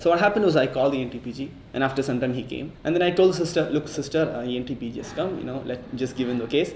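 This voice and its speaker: Talking at a very fast pace, a man uses ordinary pitch variation. Audible room echo and light background noise surround him. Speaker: medical intern vlogger. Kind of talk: casual vlog chat. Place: home room.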